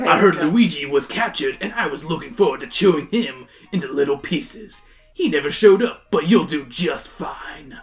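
A put-on character voice at a middle pitch and moderate pace, with faint music in the background. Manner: snarling, menacing.

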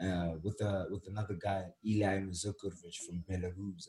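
A man's somewhat breathy, fairly low-pitched voice with a dark, mellow tone. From South Africa. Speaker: photographer. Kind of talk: casual chat.

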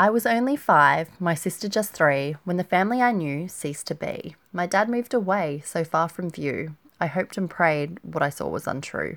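Using lively intonation, a woman with a fairly low pitch talks at a moderate pace. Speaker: blogcast host and poet. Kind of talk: heartfelt poem reading, rhymed and sincere, after a warm personal intro. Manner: measured, tender, rhythmic delivery with pauses at line ends; slightly shy and self-conscious after the reading.

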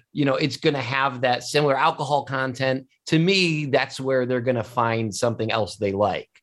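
A man with an unremarkable speaking voice and an American accent, at a moderate pace with ordinary pitch variation and hardly any pauses. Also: medium pitch for a man, very even loudness. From US Midwest, Cleveland area. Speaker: wine show host and sommelier. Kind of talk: interview.

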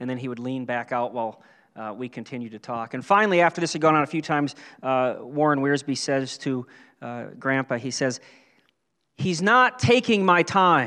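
Against a quiet background, a man talks at a moderate pace in a fairly high voice with a bright, sharp tone and lively intonation. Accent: American. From western Pennsylvania and western New York. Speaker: pastor. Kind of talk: sermon. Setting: church.

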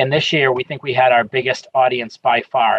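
A moderate pace, an American accent and a somewhat breathy delivery. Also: man. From Boston. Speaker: parks commissioner. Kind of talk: interview.

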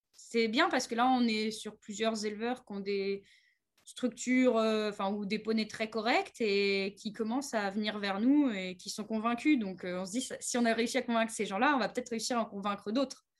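A woman with an ordinary speaking voice talks at a moderate pace, her fairly high pitch moving in a fairly even intonation. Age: 30s. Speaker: horse trainer. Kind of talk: interview.

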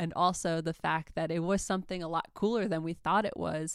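A woman with an American accent has an unremarkable speaking voice at a fairly low pitch and fairly even intonation. She talks at a fairly quick pace in a very clean recording with a silent background. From New York. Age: 20s. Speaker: podcast host, album reviewer. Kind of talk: casual monologue, album review.

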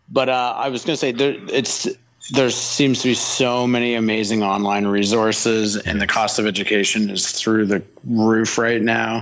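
A man with a Canadian accent at medium pitch and a moderate pace, fairly even intonation, noticeable background noise. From Canada, Toronto. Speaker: film art director and illustrator. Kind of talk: casual interview chat.

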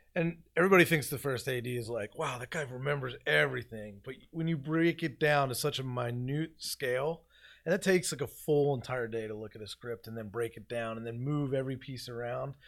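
At a fairly quick pace with hardly any pauses, a man with an American accent speaks in an unremarkable speaking voice at medium pitch, on a very clean recording with a silent background. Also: ordinary pitch variation. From Philadelphia. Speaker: film assistant director. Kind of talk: casual interview.

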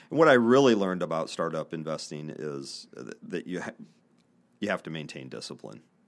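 On a very clean recording with a silent background, a man with a Midwestern American accent talks at a very deep, low pitch with very wide pitch swings and big swings in loudness. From Northeast Indiana, US Midwest. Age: 50s. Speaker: business podcast host and investor. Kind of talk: casual interview. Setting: studio.

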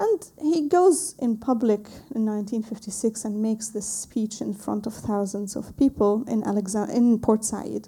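A woman with an Arabic accent speaks at a fairly slow pace in a fairly high pitch, her dark, mellow tone somewhat breathy, with ordinary pitch variation. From Lebanon. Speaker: visual and performance artist. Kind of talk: artist talk / lecture with film clips. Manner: halting, searching for English words.

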